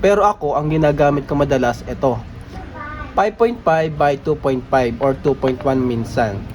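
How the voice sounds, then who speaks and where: Over noticeable background noise, someone talks at a moderate speed. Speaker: DIY electronics YouTuber. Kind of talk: product review tutorial. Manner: speaking softer than usual.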